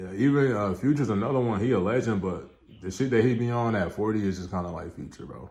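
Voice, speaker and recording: A man talks at a very fast pace with a fairly low pitch and ordinary pitch variation. His loudness swings widely, and audible room echo surrounds him. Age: 20s. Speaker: reaction video host. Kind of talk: casual commentary.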